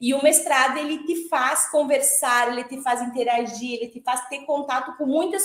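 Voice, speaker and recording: A woman with a high-pitched voice talks at a moderate pace. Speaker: former master's student, accountant and lecturer. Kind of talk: online panel talk.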